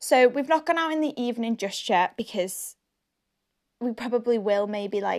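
In a Scottish accent, a woman speaks at a moderate pace with a fairly high pitch and ordinary pitch variation over a quiet background. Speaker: podcast host. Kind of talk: casual chat.

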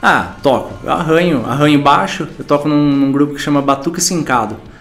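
A man with a fairly high pitch and fairly even intonation speaks at a moderate pace amid noticeable background noise and audible room echo. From São Paulo state interior, Brazil. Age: 30s. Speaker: musician. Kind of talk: interview monologue. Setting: in front of a camera. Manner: halting, stammering.

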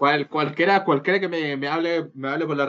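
A man with a Chilean accent talks at a very fast pace, his pitch varying in an ordinary way. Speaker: podcast co-host, law student. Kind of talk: casual chat. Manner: halting.

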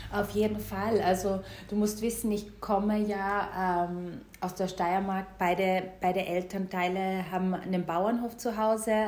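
A woman with a Styrian accent speaks at a fairly slow pace with medium pitch, monotone, flat intonation and hardly any pauses. Audible room echo and noticeable background noise fill the recording. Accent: Austrian German (Styrian). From Austria, Styria, rural. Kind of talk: casual interview.

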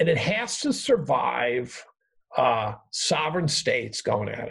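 A man at a fairly slow pace. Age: 60s. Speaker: professor. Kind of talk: casual interview chat.

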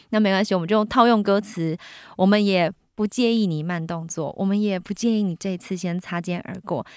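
In a very clean recording with a silent background, a woman speaks fairly quickly at a medium pitch with fairly even intonation. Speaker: podcast host, entertainer and author. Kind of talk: casual chat. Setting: studio.

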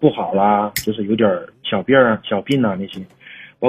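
Ordinary pitch variation marks this man's speech, which moves at a moderate pace. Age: 40s. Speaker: caller. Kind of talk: casual chat. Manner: halting.

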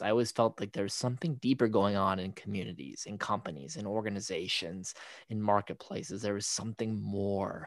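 This man has a plain, everyday voice with a fairly low pitch. He speaks at a moderate pace with ordinary pitch variation. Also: very clean recording, silent background. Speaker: podcast co-host. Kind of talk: casual conversation.

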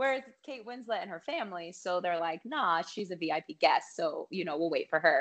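Speaking in an American accent at a medium pitch, a woman uses an ordinary speaking voice with lively intonation, a moderate pace and hardly any pauses. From Colorado. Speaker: singer-songwriter. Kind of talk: casual chat. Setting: video call.

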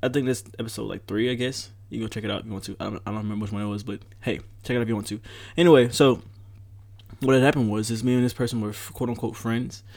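A very fast male voice, fairly low in pitch, with fairly even intonation. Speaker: podcast host. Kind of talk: casual chat, rant. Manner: talkative, chatty.

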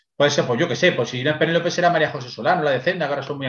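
Speaking very fast, a man delivers his words. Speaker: podcast contributor, book reviewer. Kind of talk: casual chat.

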